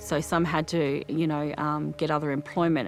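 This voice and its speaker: A woman speaks in a very deep, low voice with ordinary pitch variation while music plays in the background. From Arrernte country, Central Australia. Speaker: tourism business manager. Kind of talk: interview answer.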